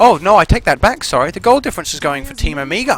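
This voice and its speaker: A man's pitch swings very widely as noticeable background noise carries on around him. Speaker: esports caster. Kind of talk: video game commentary.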